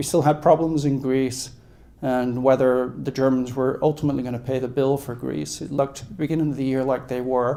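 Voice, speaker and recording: The voice has a dark, mellow tone and an American accent, moving at a fairly quick pace with monotone, flat intonation amid audible room echo. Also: man. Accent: British accent (joking he sounds New York). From UK. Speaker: investment strategist. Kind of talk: conference talk. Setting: event at a country club, live audience.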